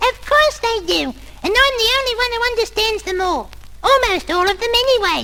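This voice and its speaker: An extremely high, squeaky put-on character voice speaks at a moderate pace. Background noise can be clearly heard. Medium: read story. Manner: stammering, chatty.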